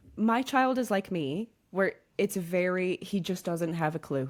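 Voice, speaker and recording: A woman with a British accent, medium pitch, lively intonation and an animated tone. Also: very clean recording, silent background. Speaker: podcast host. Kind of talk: casual chat.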